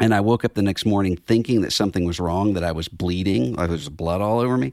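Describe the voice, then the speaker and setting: A very deep, low-pitched man with an American accent and ordinary pitch variation, dry and close with no echo, on a very clean recording with a silent background. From Mississippi, US South (Biloxi). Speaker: theologian and magazine editor. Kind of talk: casual interview.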